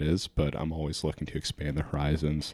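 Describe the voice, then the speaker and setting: The delivery comes at a moderate pace. It carries an American accent. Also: man. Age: 20s. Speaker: photographer and filmmaker. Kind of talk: casual chat.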